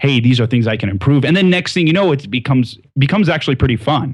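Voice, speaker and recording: A somewhat breathy man talks at a very fast pace with lively intonation. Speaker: sales consultant. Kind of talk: interview. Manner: clear, well-paced.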